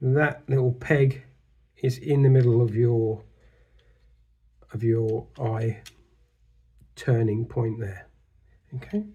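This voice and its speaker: Very slowly, a man speaks at a medium pitch with ordinary pitch variation and a somewhat breathy quality. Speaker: model kit builder. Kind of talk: casual build tutorial to camera.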